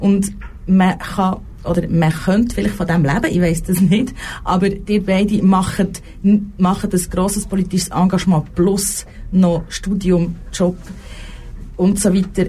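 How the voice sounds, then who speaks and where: Medium-pitched female speech at a fairly slow pace amid noticeable background noise. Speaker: radio host. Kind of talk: talk show interview. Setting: radio studio.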